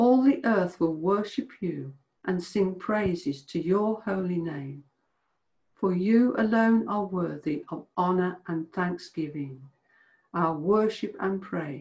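A woman talks at a very slow pace over a quiet background. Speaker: church service leader. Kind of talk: fervent intercessory prayer. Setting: church morning prayer video. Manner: earnest; solemn, devotional. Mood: calm, reverent.

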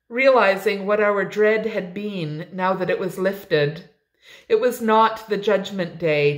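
The background is quiet as a natural voice reads aloud, its pitch varying in an ordinary way.

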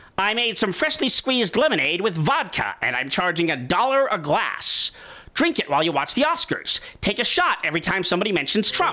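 In a cartoonish character voice, the speaker talks at a fairly quick pace. The pitch sits in the middle range but swings very widely. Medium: puppet show.

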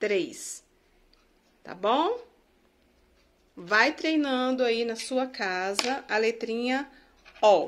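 A woman's high-pitched voice at a very slow pace, with ordinary pitch variation and long, frequent pauses. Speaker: teacher. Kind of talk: tutorial.

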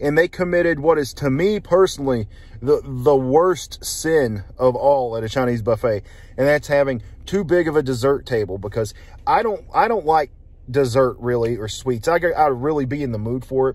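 At a moderate pace, a man talks, and the sound is dry with no echo at all. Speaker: food reviewer. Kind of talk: casual vlog chat. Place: car. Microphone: phone near.

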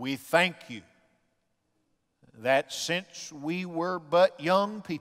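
A male voice in a quiet setting. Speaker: pastor. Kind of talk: sermon and prayer. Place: church. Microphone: headset.

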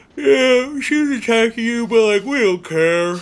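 A man speaks in a put-on character voice at an extremely high pitch. His pace is fairly slow. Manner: unexcited.

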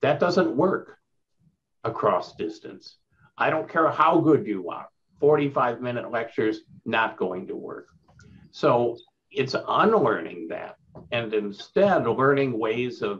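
Long, frequent pauses break up the speech. The man's pace is very slow. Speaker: university professor, keynote speaker. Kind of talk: keynote lecture. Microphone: video call.

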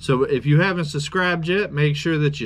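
A man speaks fairly quickly while noticeable background noise carries on. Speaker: homestead cooking vlogger. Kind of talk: casual vlog chat. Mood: excited, upbeat. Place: forest.

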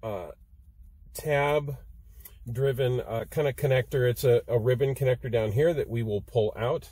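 Over a quiet background, a man speaks at a moderate pace with a dark, mellow tone, a somewhat breathy quality, fairly even intonation and a dry sound with no echo. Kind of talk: tutorial. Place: car. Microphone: phone near.

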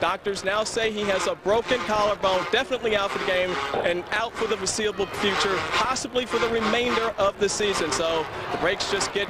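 A man with a high pitch speaks in a raised, projected voice at a moderate pace. There is noticeable background noise, and his pitch varies in an ordinary way. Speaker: sideline reporter. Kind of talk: live field report.

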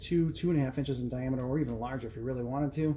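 A man speaks in a dark, mellow tone that is somewhat breathy. His intonation stays fairly even over light background noise. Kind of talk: tutorial. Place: kitchen. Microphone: phone near.

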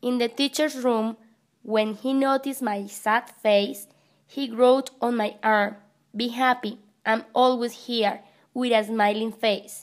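A woman with a Spanish accent speaks at a very slow pace. Her pitch is fairly high and her intonation fairly even. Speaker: English teacher. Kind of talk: scripted narration.

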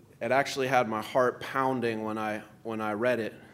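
Using fairly even intonation, a man speaks at a moderate pace. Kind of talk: public speech introduction. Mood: warm, admiring. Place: hall.

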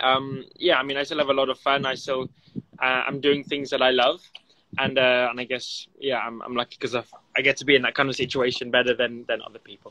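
A man talks at a fairly quick pace in a bright, sharp tone. His intonation stays monotone and flat. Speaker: remote interview guest. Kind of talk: interview answer. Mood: relaxed, smiling. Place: garden. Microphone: phone near.

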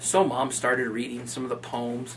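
Light noise can be heard in the background. Over it, a man talks at a moderate pace. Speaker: video blogger. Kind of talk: poem reading, comic verse read aloud in a mock-serious way; casual storytelling. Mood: amused, animated. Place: office.

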